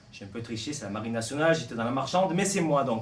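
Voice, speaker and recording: A man in a southern French accent with lively intonation, amid noticeable background noise and audible room echo. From southern France, Martigues (Provence). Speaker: actor. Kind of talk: interview. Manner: hesitant, many fillers.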